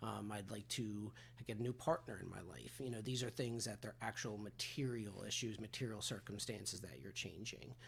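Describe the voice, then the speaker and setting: The man's voice sits fairly low, with ordinary pitch variation. Vocal fry comes through. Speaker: recovery and personal development coach. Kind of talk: solo talking-head coaching talk. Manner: fast; casual with many filler words.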